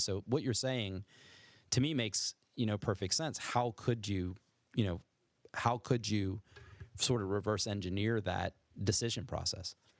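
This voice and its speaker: A man with an American accent and fairly low pitch, at a moderate pace with long, frequent pauses and fairly even intonation, in a dry, close sound with no echo on a very clean recording with a silent background. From Maryland, US. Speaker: podcast host, scientist. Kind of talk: casual chat.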